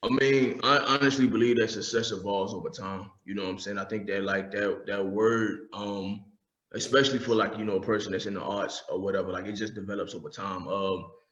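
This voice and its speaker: With audible room echo, a man speaks fairly quickly at a fairly low pitch, his intonation fairly even. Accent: American. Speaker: poet / spoken word artist. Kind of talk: casual chat.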